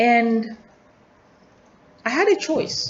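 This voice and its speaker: Noticeable background noise accompanies a woman with a Tanzanian accent and lively intonation. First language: Nyakyusa. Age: adult. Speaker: student vlogger. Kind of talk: personal video journal. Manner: reflective, halting with repetitions.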